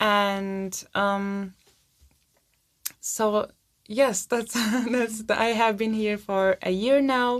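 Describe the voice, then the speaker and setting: A woman's fairly high-pitched voice with fairly even intonation, at a very slow pace broken by long, frequent pauses. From Turkey. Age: 20s. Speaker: student and stand-up comedian. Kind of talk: interview. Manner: halting.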